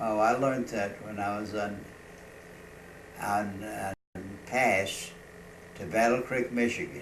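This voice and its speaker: A man with a fairly low pitch speaks very slowly and with fairly even intonation. Noticeable background noise runs behind him. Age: 80s+. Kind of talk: interview answer.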